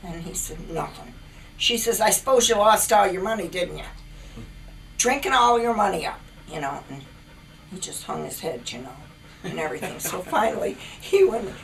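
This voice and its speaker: A woman talks at a moderate pace and medium pitch, with very wide pitch swings and big swings in loudness. Long, frequent pauses break her speech over noticeable background noise. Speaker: grandmother. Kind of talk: interview answer, family storytelling.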